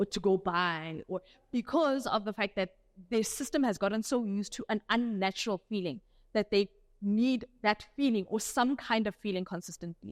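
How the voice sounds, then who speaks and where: In a very clean recording with a silent background and a dry, close sound with no echo, a woman speaks at a moderate pace with a medium pitch, ordinary pitch variation, and a South African accent. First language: Afrikaans. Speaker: doctor giving a health talk. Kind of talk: health talk lecture. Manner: casual conversational.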